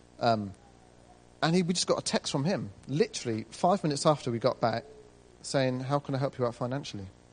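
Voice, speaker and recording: With a British accent, a man at medium pitch speaks at a fairly quick clip with lively intonation. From Britain. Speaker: church member back from ministry school. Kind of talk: church testimony.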